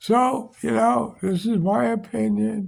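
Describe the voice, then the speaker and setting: A man speaks with a New York accent at a fairly slow pace. His voice is high-pitched. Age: 80s+. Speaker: vlogger. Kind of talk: casual monologue. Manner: blunt, opinionated rant.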